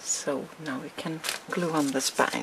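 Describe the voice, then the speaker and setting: Noticeable background noise surrounds a woman's voice. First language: not English. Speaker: crafting tutorial maker. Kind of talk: tutorial. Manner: hesitant, with fillers.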